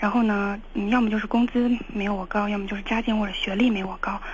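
The speech moves at a very fast pace with a monotone, flat delivery. Noticeable background noise runs underneath. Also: woman. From Shaanxi. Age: 20s. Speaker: caller seeking relationship advice. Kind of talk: call-in advice conversation. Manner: hesitant, with fillers.

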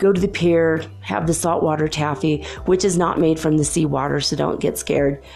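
A woman speaks in a very deep, low voice with ordinary pitch variation. She hardly pauses, and music plays in the background. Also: moderate pace. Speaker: podcast host. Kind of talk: solo monologue. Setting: home recording at night. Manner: lower pitch than usual; quiet to avoid waking neighbors.

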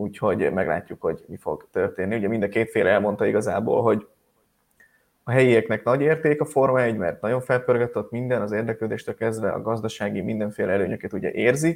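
In a very clean recording with a silent background, a man races along at a very fast pace. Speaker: motorsport news podcast host. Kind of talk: casual news roundup chat.

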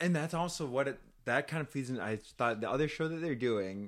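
Over a very clean recording with a silent background, a man with an unremarkable speaking voice talks at a fairly quick pace with lively intonation. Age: 30s. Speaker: drag podcast co-host. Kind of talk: casual chat. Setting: studio.

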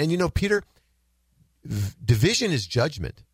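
A man's fairly quick, somewhat breathy speech with very wide pitch swings, in a very clean recording with a silent background and a dry, close sound with no echo. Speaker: radio host. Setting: studio.

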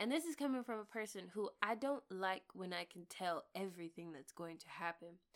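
A woman speaks with an American accent and lively intonation at a moderate pace. She has an unremarkable speaking voice. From US South. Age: 30s. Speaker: podcast co-host. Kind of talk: casual chat.

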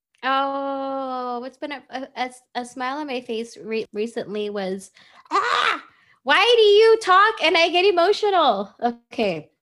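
In an American accent, a woman with a high pitch speaks at a fairly slow pace in an animated tone, with big swings in loudness. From United States. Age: 40s. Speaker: music and media marketing executive. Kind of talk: interview.

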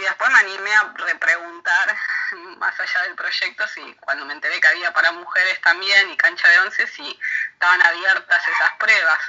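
Her loudness swings widely as a woman speaks at a moderate pace over noticeable background noise. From Argentina. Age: 30s. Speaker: amateur footballer and social worker. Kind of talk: recorded interview excerpt. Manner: halting.

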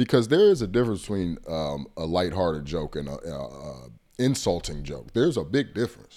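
Speaking at a fairly quick pace, a man with a very deep, low pitch and a dark, mellow tone uses very wide pitch swings, big swings in loudness and vocal fry. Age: 30s. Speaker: podcast co-host. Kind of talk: casual chat.

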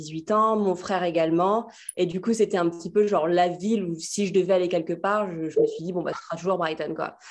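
A woman with an ordinary speaking voice talks at a moderate pace and medium pitch, her intonation fairly even. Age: 20s. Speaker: fashion stylist. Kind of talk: casual interview conversation.

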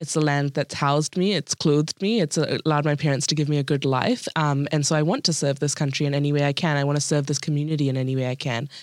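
A woman with a New Zealand accent talks at a very fast pace with hardly any pauses, in a very deep, low pitch with fairly even intonation and very even loudness. The recording is very clean with a silent background, and the sound is dry and close with no echo. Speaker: podcast guest. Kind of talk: casual chat. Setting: studio.

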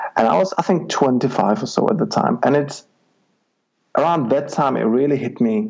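With a Czech accent, a man speaks at a fairly high pitch with lively intonation and very even loudness. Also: moderate pace. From Czech Republic, rural village. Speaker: life coach. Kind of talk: interview. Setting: Skype call.

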